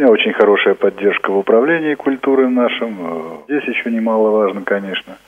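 Speaking at a fairly quick pace with hardly any pauses, a man uses a medium pitch and lively intonation over noticeable background noise. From Altai Krai, Russia. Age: 50s. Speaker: library director. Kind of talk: interview.

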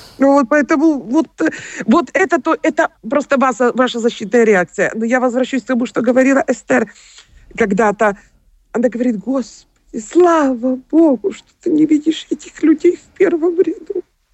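At a moderate pace, a woman speaks with lively intonation and a high pitch. Her loudness swings widely. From Ukraine, Kyiv. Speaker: singer. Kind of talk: interview. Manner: halting.

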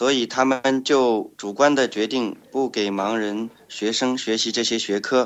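This man's voice is medium in pitch, with fairly even intonation. He speaks at a very slow pace. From China, Shanghai. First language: Chinese (speaking Russian). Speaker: blind social enterprise trainer. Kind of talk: interview.

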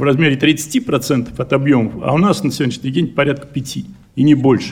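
A man speaks with vocal fry. His pitch moves in an ordinary way. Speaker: enterprise director. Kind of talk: conference speech. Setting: congress hall.

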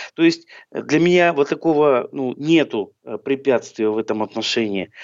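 Talking at a fairly slow pace, a man has a fairly high pitch. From Southern Urals, Chelyabinsk. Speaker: blind singer and musician. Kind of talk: radio interview.

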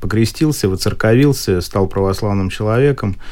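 Moderately paced, a normal speaking voice from a man, its pitch moving in an ordinary way. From Moscow, Russia. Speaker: politician and wheelchair athlete. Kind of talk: radio interview.

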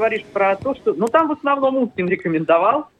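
With pitch that swings very widely, a man speaks fairly fast. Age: 20s. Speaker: sports journalist. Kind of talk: radio interview.

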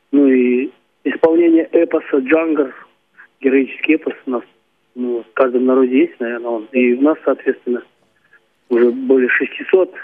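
This man's voice sits at a fairly high pitch for a man. He talks at a moderate pace with fairly even intonation. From Kalmykia. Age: 50s. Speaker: folk singer. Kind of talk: phone interview.

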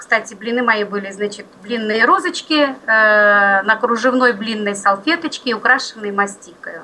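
Over noticeable background noise, a woman with a fairly high pitch speaks at a fairly slow pace with hardly any pauses. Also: ordinary pitch variation. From Belgorod region, Russia. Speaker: regional library worker for the blind. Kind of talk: radio interview.

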